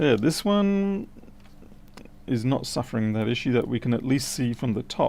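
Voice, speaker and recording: Very wide pitch swings in an Australian accent, at a moderate pace with long, frequent pauses. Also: man, medium pitch for a man. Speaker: electronics repair technician. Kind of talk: livestream repair commentary.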